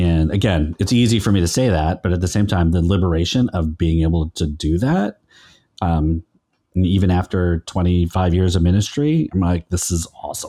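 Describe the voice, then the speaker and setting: A man speaks at a moderate pace in a very deep, low voice with ordinary pitch variation and a Californian accent. His tone is dark and mellow, and the sound is dry and close with no echo. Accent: general American, Californian. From California Central Valley. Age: 50s. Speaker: pastor and podcaster, guest. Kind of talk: casual interview chat.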